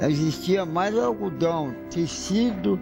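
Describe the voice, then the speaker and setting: Very slow, lively speech from a man with a fairly high pitch, music playing in the background. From Minas Gerais, Brazil. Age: 80s+. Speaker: former enslaved person, retired railway worker. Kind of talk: interview answer.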